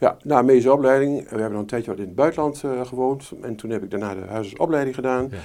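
The delivery is very fast, with hardly any pauses and big swings in loudness. The tone is dark and mellow, with ordinary pitch variation. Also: man, medium pitch for a man. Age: 60s. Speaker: retired family doctor. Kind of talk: interview. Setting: doctor's practice.

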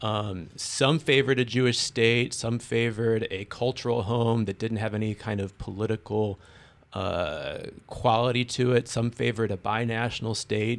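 A man talks in a normal speaking voice at a medium pitch, with fairly even intonation. He hardly pauses, and the recording is very clean with a silent background. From born in Israel, raised in US. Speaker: political science professor. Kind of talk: academic panel discussion.

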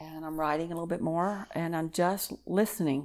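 A woman speaks fairly quickly in a Texan accent at a fairly low pitch. The recording is very clean with a silent background. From Texas. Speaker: minister. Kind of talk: casual chat.

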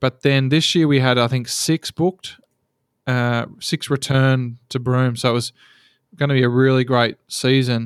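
This man with an Australian accent talks at a fairly slow pace in a medium-pitched, monotone, flat delivery, with a dry, close sound and no echo. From Australia, Geelong, Victoria. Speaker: seaplane pilot. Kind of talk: interview.

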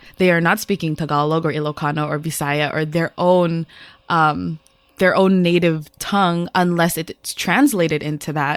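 A woman's plain, everyday voice, fairly low in pitch, with fairly even intonation and a moderate pace, in a very clean recording with a silent background. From US, Filipino-American. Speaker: educator and podcast co-host. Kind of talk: casual chat.

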